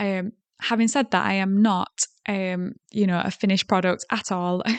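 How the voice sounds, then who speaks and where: A woman speaks with a Yorkshire accent. The sound is dry and close, with no echo. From South Yorkshire, England. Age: 30s. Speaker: podcast host. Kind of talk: solo podcast monologue. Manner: hesitant, many fillers.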